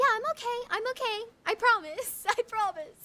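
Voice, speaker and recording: Putting on a character voice, a woman squeaks at an extremely high pitch, moving at a moderate pace with ordinary pitch variation. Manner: defensive.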